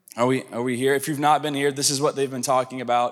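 The speaker has an unremarkable speaking voice with an American accent. Intonation stays fairly even. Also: man. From US South. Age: 30s. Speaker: pastor. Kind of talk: sermon.

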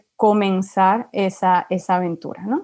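The speaker has an ordinary speaking voice and talks at a fairly slow pace. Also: woman. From Venezuela. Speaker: UX designer. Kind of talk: casual interview.

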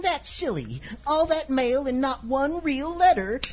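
Over clear background noise, a female-sounding put-on character voice speaks high and fairly slowly. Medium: audio drama. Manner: wholesome, easily flustered.

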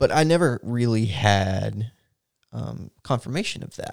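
A man speaks with an American accent in an unremarkable speaking voice, medium in pitch, with lively intonation. The recording is very clean, with a silent background. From Texas. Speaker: church podcast co-host. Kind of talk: casual chat and personal testimony.

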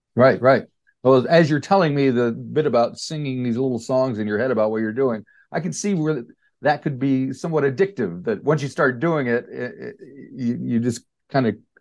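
In an unremarkable speaking voice, a man talks at a fairly quick pace with medium pitch and lively intonation against a quiet background. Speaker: radio interviewer. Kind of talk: casual interview. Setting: phone call.

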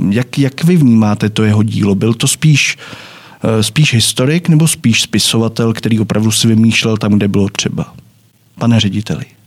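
This is a plain, everyday voice at a moderate pace, with ordinary pitch variation and very even loudness. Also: man, medium pitch for a man. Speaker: podcast host. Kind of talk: moderated discussion. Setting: studio.

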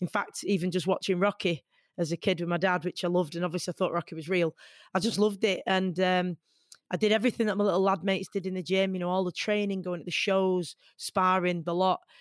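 Talking at a very fast pace in a Manchester accent, a woman keeps a medium pitch and monotone, flat intonation against a quiet background, with a dry, close sound and no echo. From Hyde, Greater Manchester. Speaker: boxer, radio presenter and equality campaigner. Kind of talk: interview conversation.

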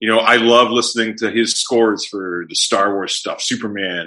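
At a moderate pace, a man with a medium pitch talks in a bright, sharp tone with fairly even intonation. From Canada. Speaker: musician and podcaster. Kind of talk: casual chat. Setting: video call.

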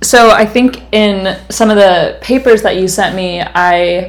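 With an American accent, a woman speaks at medium pitch with ordinary pitch variation, and there is noticeable background noise. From US West Coast. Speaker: podcast host. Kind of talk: interview.

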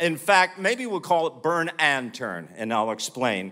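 On a very clean recording with a silent background, a man with an American accent speaks at a fairly slow pace in a fairly high pitch. His tone is bright and sharp, with vocal fry and very wide pitch swings. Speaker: preacher. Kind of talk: sermon. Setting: church with audience.

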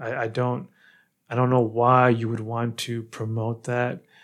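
On a very clean recording with a silent background, a man with an American accent and an unremarkable speaking voice talks fairly slowly at a medium pitch. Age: 30s. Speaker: podcast host. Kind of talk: casual interview.

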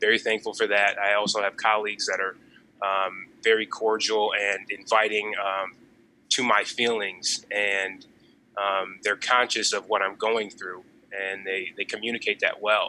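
A man with an American accent speaks at a fairly slow pace in a bright, sharp tone with monotone, flat intonation. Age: 20s. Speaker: podcast guest. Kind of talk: casual chat.

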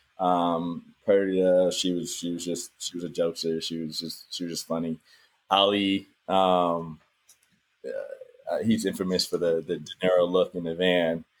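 In an American accent, a man with a very deep, low pitch speaks at a fairly slow pace in a flat monotone. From US South. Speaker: actor. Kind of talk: casual interview.

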